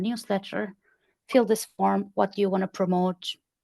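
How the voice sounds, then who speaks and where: In a quiet background with a dry, close sound and no echo, a woman with a non-native accent speaks at a moderate pace, her medium pitch following a fairly even intonation. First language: not English. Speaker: community consultant. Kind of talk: podcast interview.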